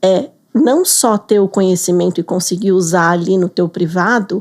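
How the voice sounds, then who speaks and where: A normal speaking voice at a fairly slow pace with ordinary pitch variation, on a very clean recording with a silent background. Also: woman. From Brazil. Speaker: business English teacher. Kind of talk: interview.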